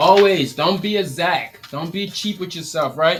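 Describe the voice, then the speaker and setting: A man speaks with a Liberian accent in an animated tone. His pace is moderate and his pitch variation ordinary. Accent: Liberian accent, noticeable. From Liberia, West Africa. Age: 30s. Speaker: t-shirt printing business owner and coach. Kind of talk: live stream tutorial. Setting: live stream in print workshop. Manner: casual, animated.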